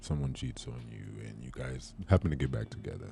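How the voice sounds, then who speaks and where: A man's very deep, low voice in an American accent, at a moderate pace with ordinary pitch variation and music in the background. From Brooklyn, New York. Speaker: radio show host. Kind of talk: talk radio interview host.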